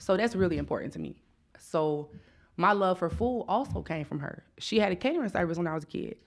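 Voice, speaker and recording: Vocal fry and lively intonation from a woman with a fairly low pitch, on a very clean recording with a silent background. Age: 30s. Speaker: chef. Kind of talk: casual chat.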